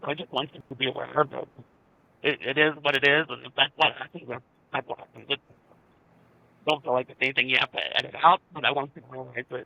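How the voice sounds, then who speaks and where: Very fast speech with vocal fry and big swings in loudness. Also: man, fairly high pitch for a man. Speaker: cancer survivor. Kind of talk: casual chat.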